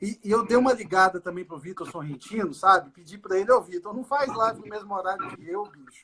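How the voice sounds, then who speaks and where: A man with a high pitch uses a raised, projected voice at a fairly quick pace, with hardly any pauses and ordinary pitch variation. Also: big swings in loudness. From Brazil, Minas Gerais (Governador Valadares). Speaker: doctor specialising in fetal medicine and ultrasound. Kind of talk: casual live-stream conversation. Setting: online live stream.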